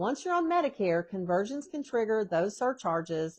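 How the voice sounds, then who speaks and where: In an ordinary speaking voice, a woman talks at a moderate pace with lively intonation against a quiet background. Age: 60s. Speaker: retirement planning vlogger. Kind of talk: casual talk to camera about personal finance. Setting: home.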